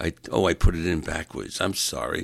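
In a New York accent, a man speaks with vocal fry on a very clean recording with a silent background. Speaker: podcast host. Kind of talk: solo rant monologue. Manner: animated.

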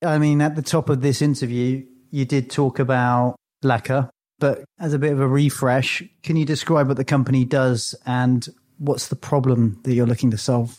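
A normal speaking voice with fairly even intonation, very even loudness and a moderate pace. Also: man, medium pitch for a man. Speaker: podcast host. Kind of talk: interview.

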